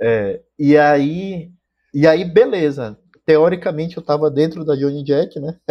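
With a fairly high pitch and ordinary pitch variation, a man speaks at a fairly slow pace. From Manaus, Amazonas, Brazil. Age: 30s. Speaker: drummer. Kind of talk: casual chat. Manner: halting, many repetitions.

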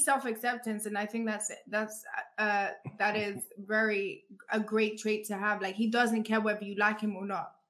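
A woman talks at a fairly slow pace in a London accent. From Africa, raised; lived in London. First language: not English. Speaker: podcast host. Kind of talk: casual interview. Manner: animated.

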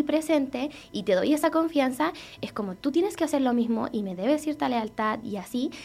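The speech comes at a fairly quick pace in a Chilean accent. The intonation is lively. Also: woman. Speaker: podcast host. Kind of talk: casual chat.

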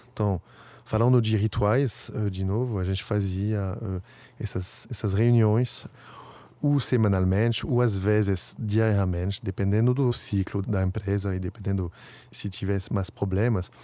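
Fairly low-pitched man, dark, mellow tone, fairly even intonation, fairly slow pace. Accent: French. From France, Paris. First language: French (speaking Portuguese). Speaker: startup founder. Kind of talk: interview. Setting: outdoors in front of a stadium. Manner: halting.

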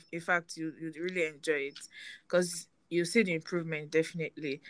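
A woman speaks with a Nigerian accent and a fairly low pitch. Her tone is bright and sharp, and the background is quiet. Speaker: podcast host. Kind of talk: casual chat.

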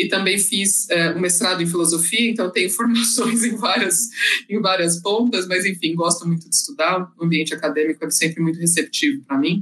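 A woman of medium pitch talks at a moderate pace in a bright, sharp tone. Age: 30s. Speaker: consulting project manager. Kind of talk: panel discussion.

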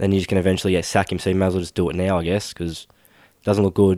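The voice is monotone with flat intonation, the sound dry and close with no echo on a very clean recording with a silent background. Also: man. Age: 20s. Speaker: sports podcast host. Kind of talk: casual chat.

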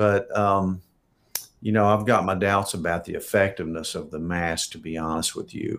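Using a normal speaking voice, a man talks at a moderate pace. His pitch is fairly low, with ordinary pitch variation. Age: 60s. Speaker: physician. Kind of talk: live Q&A.

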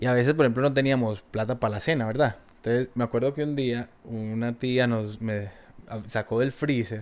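Speaking fairly slowly, a man holds a mid-range pitch and keeps his intonation fairly level. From Colombia, Valle del Cauca. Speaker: guest sharing life story. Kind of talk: interview. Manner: halting, repeated words.

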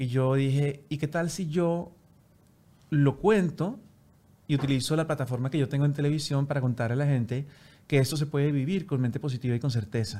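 A man speaks at a fairly quick pace in a fairly high pitch, his dark, mellow tone somewhat breathy, with ordinary pitch variation. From Colombia, Bogotá. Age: 40s. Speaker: TV presenter. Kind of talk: interview.

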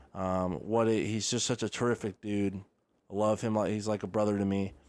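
With an unremarkable speaking voice, this man talks at a moderate pace, his pitch fairly low and his intonation fairly even. The background is silent and the recording very clean. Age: 20s. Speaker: sports podcast host. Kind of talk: solo sports commentary podcast. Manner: casual, filler-heavy.

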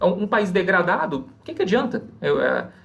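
A man's voice at a moderate pace, full of very wide pitch swings. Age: 30s. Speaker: financial advisor. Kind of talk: podcast interview.

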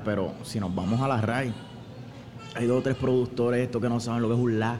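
A man talks fairly quickly with music playing behind him. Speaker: pastor and musician. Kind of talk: casual chat. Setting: pizzeria. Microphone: far from the mic.

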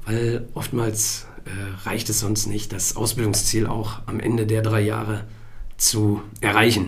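Over noticeable background noise and audible room echo, a man talks fairly slowly in a fairly low pitch with a monotone, flat intonation. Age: 30s. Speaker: hearing aid acoustician. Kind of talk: interview. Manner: hesitant fillers.

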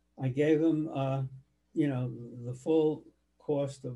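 Speaking at a fairly slow pace, a man has a dark, mellow, somewhat breathy tone and fairly even intonation. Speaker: family elder interviewed for oral history. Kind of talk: oral history interview. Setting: home office. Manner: halting.

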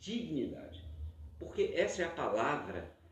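A man speaks at a moderate pace. The recording has audible room echo and noticeable background noise. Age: 50s. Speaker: podcast host. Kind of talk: debate moderation.

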